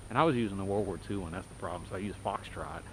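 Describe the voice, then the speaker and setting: A man's fairly low voice with vocal fry, ordinary pitch variation, and an American accent. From Texas. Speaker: video journal vlogger. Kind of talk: casual monologue while walking. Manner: rambling conversational. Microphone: poor audio with noise.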